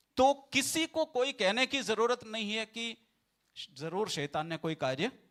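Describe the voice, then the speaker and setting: In a dry, close sound with no echo, a man speaks at a high pitch with very wide pitch swings. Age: 40s. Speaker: pastor. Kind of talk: sermon. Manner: repetitive, emphatic.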